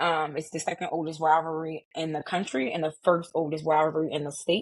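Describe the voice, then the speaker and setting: Fairly quick in pace, a woman with a fairly low voice speaks in a Baltimore accent. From Baltimore, Maryland. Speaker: sports community founder. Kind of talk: podcast interview.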